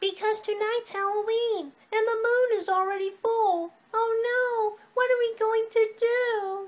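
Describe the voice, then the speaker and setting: This is a cartoonish character voice at an extremely high pitch. It moves at a fairly slow pace. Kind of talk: children's puppet show. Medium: puppet show. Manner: panicky.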